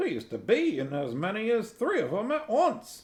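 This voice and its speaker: Putting on a character voice, a man speaks at a moderate pace and a high pitch. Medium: read story.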